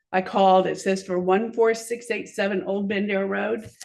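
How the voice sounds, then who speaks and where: There is audible room echo around a woman's voice. She speaks at medium pitch with fairly even intonation. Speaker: business owner, public commenter. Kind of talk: public comment at council meeting. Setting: city council meeting. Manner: fast.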